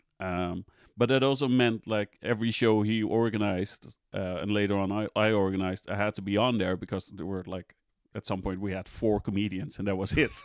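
A man with a Dutch accent speaks at a fairly low pitch with fairly even intonation, in a dry, close sound with no echo and a very clean recording with a silent background. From Netherlands, Amsterdam. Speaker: stand-up comedian. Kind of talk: casual chat.

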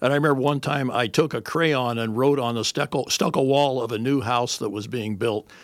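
An American-accented man with an ordinary speaking voice talks at a fairly quick pace with hardly any pauses and ordinary pitch variation, on a very clean recording with a silent background. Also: medium pitch for a man. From Whittier, Los Angeles area. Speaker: community radio host. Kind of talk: interview conversation.

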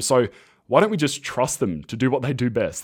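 Very fast, lively speech from a man with an Australian accent. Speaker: podcast host, ecommerce entrepreneur. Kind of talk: solo monologue podcast. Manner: casual, conversational.

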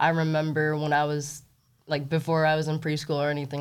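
The woman's voice sits at a very deep, low pitch. She talks at a fairly quick pace. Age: 30s. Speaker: Olympic weightlifter and coach. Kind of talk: casual interview.

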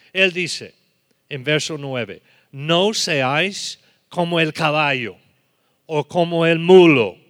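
On a very clean recording with a silent background, a man speaks at a fairly high pitch with ordinary pitch variation. He goes at a very slow pace with long, frequent pauses. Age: 70s. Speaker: preacher. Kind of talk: sermon. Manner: halting.

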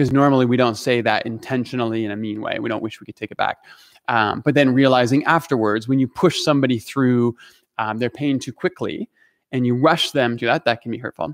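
A plain, everyday voice at a fairly quick pace, fairly even in intonation, with a dry, close sound and no echo. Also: man, medium pitch for a man. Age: 40s. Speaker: pastor. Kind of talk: casual chat.

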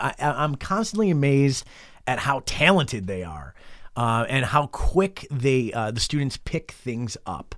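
On a very clean recording with a silent background, a man speaks at a moderate pace and fairly high pitch with lively intonation. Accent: western New York. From western New York (Rochester). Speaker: college radio operations manager. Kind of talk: interview. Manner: hesitant, many fillers.

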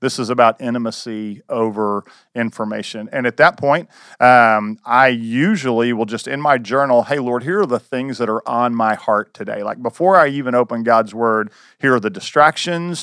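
At a moderate pace, a man with a plain, everyday voice, medium pitch and ordinary pitch variation is heard in a very clean recording with a silent background. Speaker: campus pastor. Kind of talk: casual discussion.

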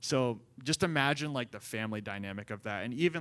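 Here a man uses an unremarkable speaking voice, medium in pitch with ordinary pitch variation. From Central Maryland, US. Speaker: young adults ministry assistant. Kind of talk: interview testimony.

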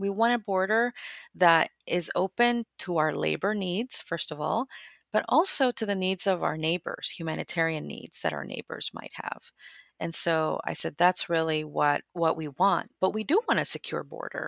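Recorded very cleanly against a silent background, a woman talks at a moderate pace with an American accent. The sound is dry and close, with no echo. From Guatemala, raised in the US from childhood. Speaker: immigrant advocate and writer. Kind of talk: interview conversation.

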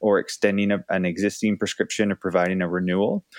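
In an unremarkable speaking voice, a man with a Canadian accent talks at a fairly low pitch with fairly even intonation, recorded with a dry, close sound and no echo. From Canada. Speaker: clinical pharmacist and researcher. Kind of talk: interview.

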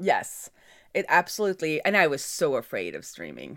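With a Norwegian accent, a woman talks at a fairly slow pace. Her pitch is fairly low with ordinary variation. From Norway. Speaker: software developer. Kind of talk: casual interview chat. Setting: remote call.

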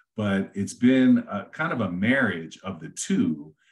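A man with an American accent, at a very slow pace, with ordinary pitch variation. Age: 50s. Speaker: real estate agent, former police officer and veteran. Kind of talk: interview conversation.

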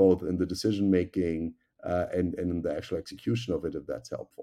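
In a German accent, a man with a very deep, low pitch speaks at a fairly quick pace. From Germany. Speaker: tech company executive. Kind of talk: interview.

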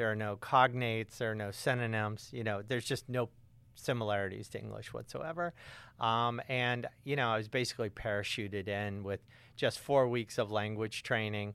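A man with a normal speaking voice and an American accent talks at a moderate pace with a medium pitch and fairly even intonation, on a very clean recording with a silent background. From US South, suburban Atlanta, Georgia. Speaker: author and climate activist. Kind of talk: interview. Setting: studio.

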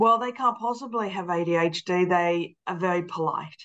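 At a moderate pace, a woman speaks with a fairly bright tone, a fairly low pitch and ordinary pitch variation.

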